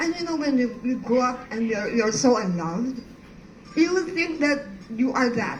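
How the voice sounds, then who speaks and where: A woman speaks at a high pitch with lively intonation and a moderate pace. Noticeable background noise and audible room echo are present. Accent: Filipino. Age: 60s. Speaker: art professor. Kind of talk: personal testimony talk. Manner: halting.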